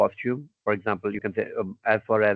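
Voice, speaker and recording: This man's voice sits at a fairly low pitch. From Pakistan. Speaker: university dean and fashion researcher. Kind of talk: interview. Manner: hesitant, many fillers.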